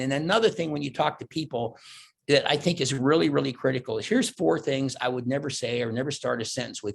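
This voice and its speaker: Fairly high-pitched for a man, this animated voice carries some vocal fry. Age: 70s. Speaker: keynote speaker. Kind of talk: keynote speech. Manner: fast.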